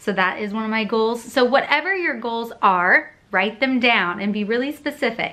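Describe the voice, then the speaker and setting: A woman with a fairly high voice speaks at a moderate pace, barely pausing. Her tone is bright, sharp and animated, with lively intonation. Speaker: vlogger. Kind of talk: casual vlog talk to camera.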